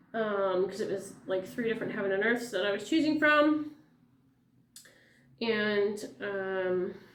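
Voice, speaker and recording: Long, frequent pauses break up a woman's fairly slow speech. Her pitch varies in an ordinary way, and audible room echo fills the space. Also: medium pitch for a woman. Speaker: flosstube cross-stitch vlogger. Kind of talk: casual vlog chat. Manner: rambling, many fillers.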